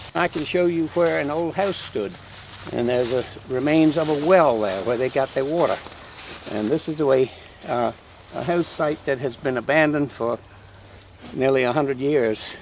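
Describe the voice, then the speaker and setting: Noticeable background noise accompanies a man whose fairly high-pitched voice, with ordinary pitch variation, moves at a moderate pace broken by long, frequent pauses. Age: 80s+. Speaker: local historian guide. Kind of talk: guided tour talk to children.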